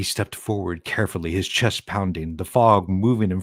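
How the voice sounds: Pitch shifts in an ordinary way as someone reads in a natural reading voice.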